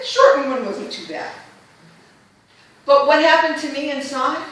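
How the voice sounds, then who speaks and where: A woman with a high voice speaks at a moderate pace. Noticeable background noise and audible room echo surround her. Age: 60s. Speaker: Toastmasters club member giving a speech. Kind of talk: prepared humorous speech. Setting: club meeting with audience.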